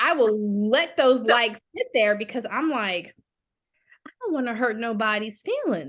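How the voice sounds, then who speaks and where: At a fairly slow pace, a woman speaks in an unremarkable speaking voice with a fairly high pitch and lively intonation. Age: 40s. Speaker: podcast panelist. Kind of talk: casual chat.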